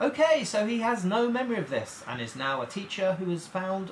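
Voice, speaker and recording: Noticeable background noise runs under a man's voice. His pitch swings very widely. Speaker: comedian and filmmaker. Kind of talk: comic video essay narration.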